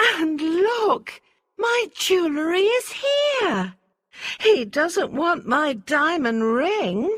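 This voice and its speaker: Very slow and extremely high, a woman's put-on character voice swings very widely in pitch. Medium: read story.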